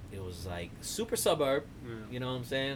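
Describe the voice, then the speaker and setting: His pitch varies in an ordinary way. The man's voice carries audible room echo. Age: 30s. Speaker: podcast guest. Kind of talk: casual chat.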